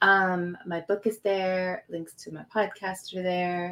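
Speaking fairly slowly in a calm, soothing tone, a woman keeps her voice at a medium pitch. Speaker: author and producer. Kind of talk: interview conversation.

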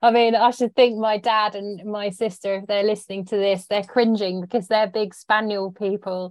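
A woman with an English accent, medium pitch and monotone, flat intonation at a moderate pace. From British countryside. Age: 40s. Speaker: magazine features editor. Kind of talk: interview.

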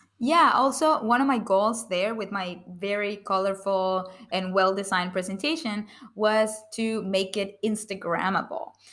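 Using a non-native accent, a woman speaks fairly slowly at a medium pitch with ordinary pitch variation. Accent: foreign-accented English. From outside the US. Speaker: public speaker and author. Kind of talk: podcast interview.

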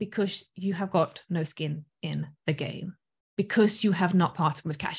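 A woman speaks in an animated tone, her voice somewhat breathy. The recording is very clean, with a silent background. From South Africa. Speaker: business coach and online course host. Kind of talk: live-streamed coaching lesson. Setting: live stream with replay. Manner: animated, chatty.

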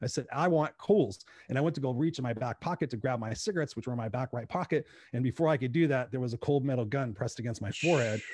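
Somewhat breathy and at a very fast pace, a man speaks with medium pitch and ordinary pitch variation in a dry, close sound with no echo. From Inglewood, California, US. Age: 50s. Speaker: speaker and coach. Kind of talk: interview.

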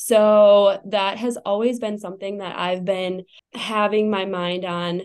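A woman's medium-pitched voice with an American accent, monotone and flat in intonation, against a quiet background. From Wisconsin. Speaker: chiropractor. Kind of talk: podcast interview.

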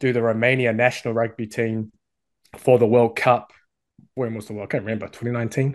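The speaker talks at a fairly quick pace with a New Zealand accent. The background is quiet. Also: man. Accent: New Zealand (Kiwi). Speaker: sports coach and website owner. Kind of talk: interview chat.

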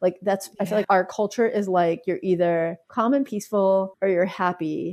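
On a very clean recording with a silent background, a woman uses an ordinary speaking voice of medium pitch, moving at a moderate pace with ordinary pitch variation. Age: 50s. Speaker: physician, midwife and herbalist. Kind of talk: interview conversation.

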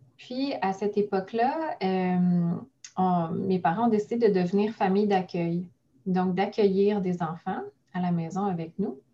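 A somewhat breathy voice with a dark, mellow tone at a very slow pace. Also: woman. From Quebec, Mont-Saint-Hilaire (south shore of Montreal). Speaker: notary. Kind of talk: interview conversation.

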